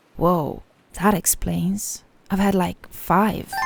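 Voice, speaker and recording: A female-sounding voice performs a cartoonish character voice at medium pitch. The pace is very slow. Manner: anxious, hesitant.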